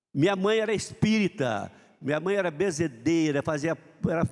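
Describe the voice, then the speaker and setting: This is a man speaking. His pace is moderate. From Brazil, southern Minas Gerais. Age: 70s. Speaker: motivational speaker. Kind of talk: motivational talk. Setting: stage with audience. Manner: halting.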